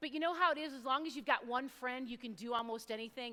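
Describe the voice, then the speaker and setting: A woman's raised, projected voice, high-pitched with a bright, sharp tone, fairly even intonation and a fairly quick pace. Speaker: youth speaker. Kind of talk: inspirational talk. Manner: loud.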